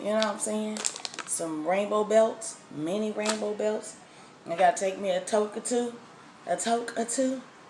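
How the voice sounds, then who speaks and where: Soft-spoken, a woman talks at a fairly high pitch against noticeable background noise. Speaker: food vlogger. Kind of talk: casual vlog. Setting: outdoors then at home.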